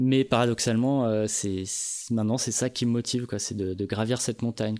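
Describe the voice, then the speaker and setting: Dark and mellow in tone, a man speaks at a medium pitch with fairly even intonation. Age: 30s. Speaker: podcast host, sound engineer. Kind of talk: casual chat.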